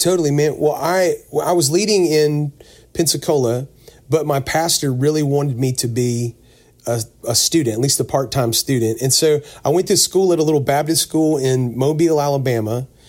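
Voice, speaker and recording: A man with an unremarkable speaking voice talks at a moderate pace and fairly high pitch. His pitch varies in an ordinary way, and his loudness stays very even. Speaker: singer. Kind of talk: casual interview chat. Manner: casual, friendly.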